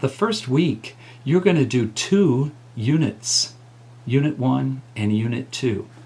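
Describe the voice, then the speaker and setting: A man's dark, mellow, somewhat breathy voice, very slow in pace, with lively intonation. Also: medium pitch for a man. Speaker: college music teacher. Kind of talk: tutorial.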